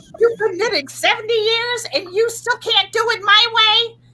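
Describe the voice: The speaker puts on a character voice and keeps to a moderate pace. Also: female-sounding voice, extremely high pitch for a woman.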